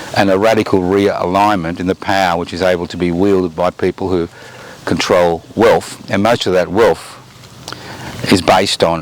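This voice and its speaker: A man with an Australian accent and a very deep, low pitch, monotone and flat, at a moderate pace amid noticeable background noise. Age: 70s. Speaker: political commentator. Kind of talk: monologue commentary.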